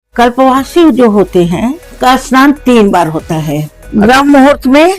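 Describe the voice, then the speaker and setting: A woman speaks at a high pitch, her voice swinging very widely up and down. Music plays in the background. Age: 70s. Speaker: pilgrim who has done kalpvas for years. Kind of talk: interview answer.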